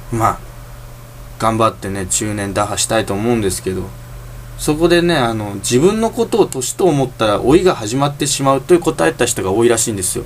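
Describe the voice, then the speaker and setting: Over noticeable background noise, a man at medium pitch talks at a fairly quick pace with lively intonation. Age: 20s. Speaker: solo podcaster. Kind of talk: casual monologue. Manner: halting.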